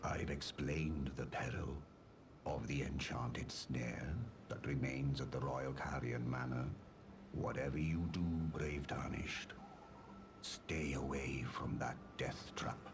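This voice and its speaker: A man's put-on character voice, very deep and low in pitch, at a fairly slow pace with long, frequent pauses over clear background noise. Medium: video game. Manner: polished, wry.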